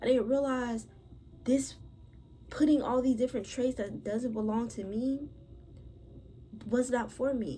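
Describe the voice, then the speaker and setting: Soft-spoken and high-pitched, a woman with a dark, mellow tone talks at a fairly slow pace with fairly even intonation and long, frequent pauses. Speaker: podcast host. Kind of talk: personal storytelling monologue.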